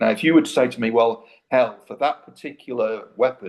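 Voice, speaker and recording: A man with an East Midlands accent at a moderate pace. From Britain. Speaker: debate guest, researcher. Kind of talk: debate.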